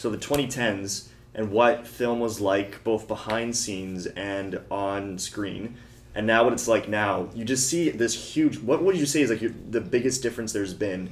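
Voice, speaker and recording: Speaking at a medium pitch and a moderate pace, a man has an unremarkable speaking voice with ordinary pitch variation. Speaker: podcast host. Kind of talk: casual interview.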